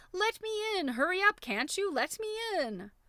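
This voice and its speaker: A woman puts on a character voice pitched extremely high, shrill and squeaky. She keeps a moderate pace. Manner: impatient, demanding.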